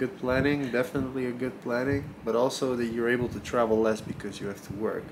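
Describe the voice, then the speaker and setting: Noticeable background noise sits behind a man with a medium pitch. He talks at a very fast pace with fairly even intonation and hardly any pauses. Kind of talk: interview answer.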